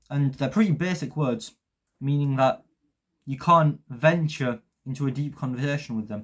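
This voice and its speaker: A man speaks at a moderate pace with a fairly high pitch and ordinary pitch variation. His voice is somewhat breathy, with long, frequent pauses. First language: Polish. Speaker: YouTuber, self-improvement. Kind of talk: vlog monologue to camera. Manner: unscripted, some hesitations.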